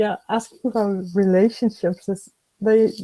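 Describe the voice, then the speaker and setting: Very slow, fairly even speech in a non-native accent, with a dark, mellow tone and a dry, close sound with no echo. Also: woman. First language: not English. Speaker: webinar co-host. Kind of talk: webinar discussion. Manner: halting.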